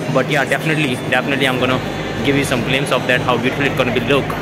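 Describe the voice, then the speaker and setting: A man is speaking over music in the background. The sound is dry, with no echo. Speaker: travel vlogger. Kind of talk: casual vlog chat. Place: station. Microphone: phone near.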